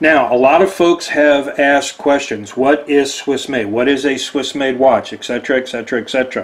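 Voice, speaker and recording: In a Texan accent, a man talks at a fairly high pitch with hardly any pauses. Noticeable background noise is present. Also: moderate pace. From Texas. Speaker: watch deal presenter. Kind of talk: product presentation. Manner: animated.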